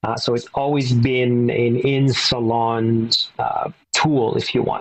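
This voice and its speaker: A man speaks at a fairly slow pace with a French Canadian accent. His intonation stays fairly even. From Quebec (Verdun, Montreal). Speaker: business executive. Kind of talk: interview.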